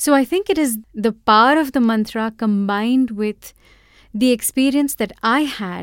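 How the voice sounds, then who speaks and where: Here is an ordinary speaking voice with ordinary pitch variation. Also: woman. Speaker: podcast host and mantra chanter. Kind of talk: storytelling monologue.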